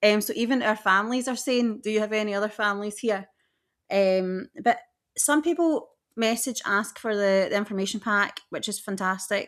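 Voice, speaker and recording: A woman speaks with a Scottish accent at a moderate pace, her pitch fairly high with ordinary variation. The recording is very clean, with a silent background. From west coast of Scotland. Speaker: podcast co-host, theme park trip planner. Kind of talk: casual chat.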